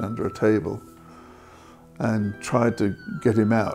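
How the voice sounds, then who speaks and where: A man's voice over clear music in the background. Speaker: interviewee. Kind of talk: interview answer. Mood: sombre, reflective. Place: home room. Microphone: lapel.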